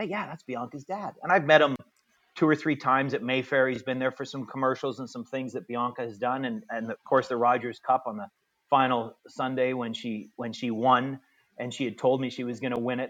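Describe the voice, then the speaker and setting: A man with a Canadian accent speaks in a plain, everyday voice at a fairly quick pace, his loudness swinging widely and his pitch varying in an ordinary way. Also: medium pitch for a man. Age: 50s. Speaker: tennis director and tournament announcer. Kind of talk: interview.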